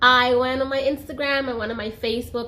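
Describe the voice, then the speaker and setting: Audible room echo follows a woman as she speaks at a fairly quick pace. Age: 20s. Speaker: YouTuber. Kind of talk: personal story vlog. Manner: casual, chatty.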